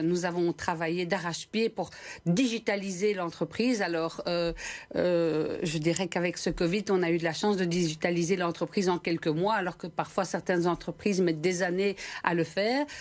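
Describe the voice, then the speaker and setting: The speaker has a Belgian accent and talks at a moderate pace. Intonation is fairly even and loudness stays very even. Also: woman. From Belgium. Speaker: company director. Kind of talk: TV interview.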